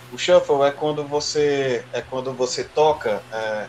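A fairly high-pitched man over noticeable background noise. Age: 30s. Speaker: drummer. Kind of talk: casual chat.

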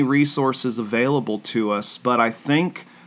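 A man is speaking. He has an American accent. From US South, Orlando, Florida. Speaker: pastor and podcast co-host. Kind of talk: casual Bible-teaching podcast chat. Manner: hesitant, many fillers.

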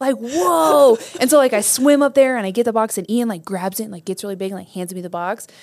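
A woman talks very fast, her pitch fairly high and her intonation lively. Her loudness swings widely. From Nebraska. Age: 30s. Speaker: podcast host. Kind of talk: interview.

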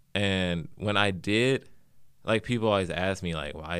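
A man speaks in an American accent with a very deep, low pitch. His pitch variation is ordinary. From St. Louis, Missouri. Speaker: podcast co-host. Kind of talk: personal narrative.

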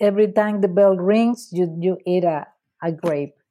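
Speaking with a Spanish accent, a woman uses a medium pitch and a dark, mellow tone. Her pace is fairly slow and her intonation fairly even. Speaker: food blogger and author. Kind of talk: casual chat. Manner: laughs often.

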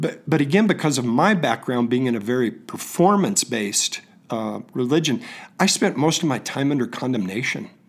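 A man talks at a fairly quick pace in a plain, everyday voice. His pitch is medium and his intonation lively. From Oklahoma, near Tulsa. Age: 60s. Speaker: bible school student. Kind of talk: testimony.

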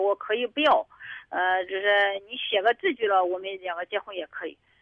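A woman's voice with very wide pitch swings, at a moderate pace. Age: 50s. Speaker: caller seeking advice. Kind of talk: call-in advice talk. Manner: halting.

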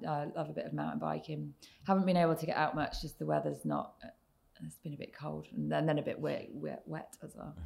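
A woman talks at a very fast pace in a southern English accent. Her loudness swings widely. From southern England, Oxfordshire. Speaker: tech executive. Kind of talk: interview.

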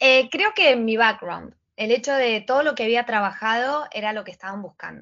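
A woman with a plain, everyday voice speaks at a fairly high pitch and a moderate pace. Her loudness swings widely, while her pitch varies in an ordinary way. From Argentina, Patagonia (Trelew, Chubut). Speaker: Instagram coach and entrepreneur. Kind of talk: casual interview.

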